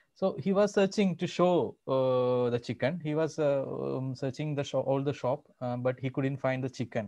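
A man with a Keralan accent speaks at a moderate pace in a dark, mellow tone. His pitch variation is ordinary, and the background is quiet. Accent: Indian English (Malayali). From Kerala, India. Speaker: salesman. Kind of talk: interview answer. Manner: hesitant, casual. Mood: amused storytelling. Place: home room. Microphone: video call.

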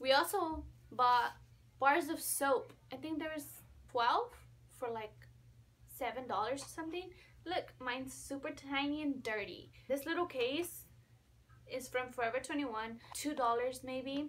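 A woman speaks fairly slowly in a high pitch with ordinary pitch variation. Long pauses come often. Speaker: college student vlogger. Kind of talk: casual vlog chat. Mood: playful, upbeat. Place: home room. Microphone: phone near.

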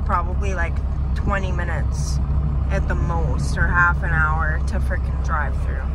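Over loud background noise, a woman speaks at a fairly slow pace in a dry sound with no echo. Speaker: passenger vlogger. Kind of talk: casual vlog chat. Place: car. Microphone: phone near.

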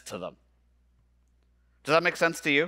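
This man's voice has a bright, sharp tone. The background is quiet. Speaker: conference keynote speaker. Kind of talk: keynote talk. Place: stage. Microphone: headset.

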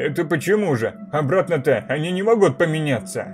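A man's put-on character voice, fairly high in pitch, fairly quick, with very wide pitch swings and clear music in the background. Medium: read story. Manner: casual, easygoing.

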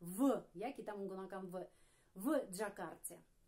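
A woman is speaking against a quiet background. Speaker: Russian language teacher. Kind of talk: tutorial. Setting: video lesson. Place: home room. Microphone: camera far.

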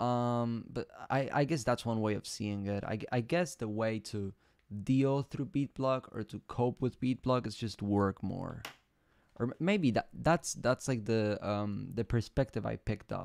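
A man at a fairly slow pace, ordinary pitch variation, dry sound with no echo. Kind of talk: casual stream chat. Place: home room.

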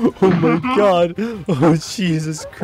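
Putting on a character voice, a man speaks at a high pitch against clear background noise.

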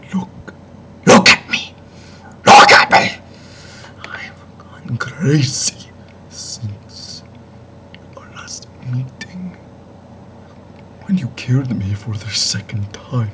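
A man's put-on character voice, raspy and theatrically menacing, medium in pitch, at a very slow pace with long, frequent pauses and light background noise. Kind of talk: improvised horror monologue. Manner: theatrical, menacing, unhinged; rising to shouts.

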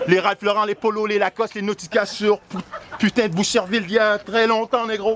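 Crowd noise sounds in the background as a man speaks. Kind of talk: energetic shout-out hype talk. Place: street. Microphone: handheld.

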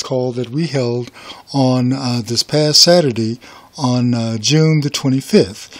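Noticeable background noise accompanies a man who talks at a fairly slow pace with ordinary pitch variation. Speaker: business owner and real estate investor. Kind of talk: intro to video.

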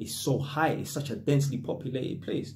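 A man speaks at a moderate pace. Nothing much is heard behind him. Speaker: vlogger. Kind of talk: casual vlog chat. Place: home room. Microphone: phone near.

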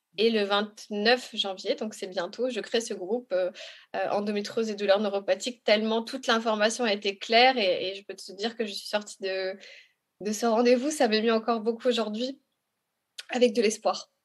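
A woman with an unremarkable speaking voice talks at a moderate pace and fairly high pitch. Her intonation is fairly even, but her loudness swings a lot. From Congo. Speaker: patient advocate. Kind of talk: testimony.

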